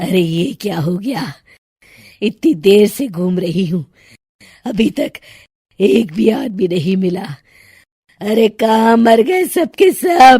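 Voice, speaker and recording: Cackling in a put-on character voice, a woman speaks with a menacing tone at medium pitch and a fairly slow pace, leaving long, frequent pauses. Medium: cartoon. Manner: cackling, menacing.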